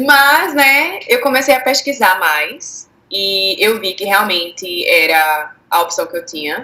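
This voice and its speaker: A woman with a Recife accent speaks at a very slow pace with hardly any pauses, her fairly high pitch making very wide swings. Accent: Recife (Pernambuco). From Brazilian Northeast, Recife. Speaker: former au pair. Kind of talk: interview.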